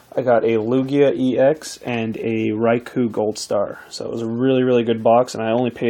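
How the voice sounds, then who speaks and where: Medium in pitch and dark, mellow in tone, this man's voice has a monotone, flat intonation. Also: hardly any pauses. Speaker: pack opening video creator. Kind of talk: casual tutorial-style unboxing talk. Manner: hesitant, filler-heavy.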